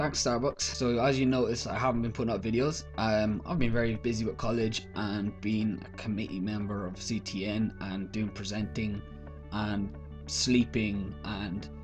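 Clear music plays in the background as a man talks with an Irish accent. His pitch is fairly low. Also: ordinary pitch variation, moderate pace. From Ireland. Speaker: vlogger. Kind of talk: casual talk to camera. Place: home room. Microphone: webcam.

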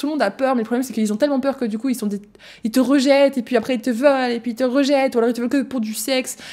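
Against a quiet background, a woman talks at a very fast pace in a high pitch with a dark, mellow tone and monotone, flat intonation. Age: 20s. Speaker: podcast host. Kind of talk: personal testimony; casual podcast storytelling. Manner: hesitant, many fillers. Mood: emotional, candid. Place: home room. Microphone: studio mic.

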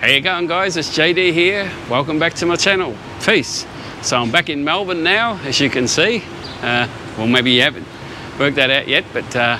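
Against noticeable background noise, a man speaks at a moderate pace, with long, frequent pauses. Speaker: photography vlogger. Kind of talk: casual vlog chat. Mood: cheerful, relaxed. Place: street. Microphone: phone near.

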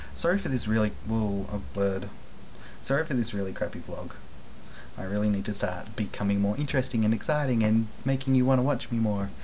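The man speaks at a fairly quick pace. Light background noise can be heard. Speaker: vlogger. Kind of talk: casual vlog monologue. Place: home room. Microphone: webcam.

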